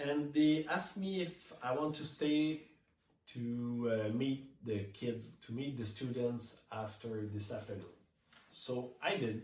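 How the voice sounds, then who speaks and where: In a room with audible echo, a somewhat breathy man speaks at a very slow pace with ordinary pitch variation. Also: medium pitch for a man. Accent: slight French Canadian. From Quebec. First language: French. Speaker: touring keyboard player. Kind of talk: prepared speech read from notes. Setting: remote video message.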